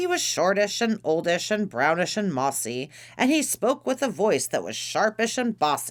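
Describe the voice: Someone is doing plain reading aloud. The text is read without embellishment.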